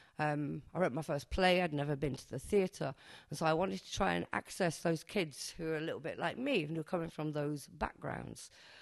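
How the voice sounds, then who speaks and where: A woman's very deep, low voice with vocal fry, a fairly quick pace and ordinary pitch variation. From England, working class. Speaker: poet and playwright. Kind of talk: casual chat; poetry performance. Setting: stage with audience. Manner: animated.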